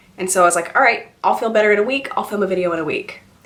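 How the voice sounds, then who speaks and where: Speech comes at a very fast pace. Noticeable background noise and audible room echo fill the recording. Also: woman. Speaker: beauty vlogger. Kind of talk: casual chat.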